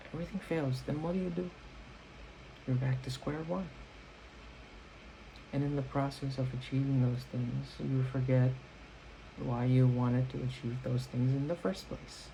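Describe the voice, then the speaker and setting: A man with a dark, mellow, somewhat breathy tone speaks at a moderate pace with long, frequent pauses. His pitch is medium and moves in an ordinary way. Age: 20s. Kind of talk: casual talk to camera. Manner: rambling.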